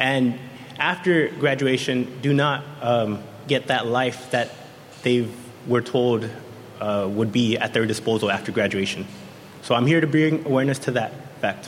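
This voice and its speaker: Ordinary pitch variation at a moderate pace, with long, frequent pauses, very even loudness, audible room echo and noticeable background noise. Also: man, medium pitch for a man. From San Diego. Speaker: youth council member. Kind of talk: prepared speech. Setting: stage with audience.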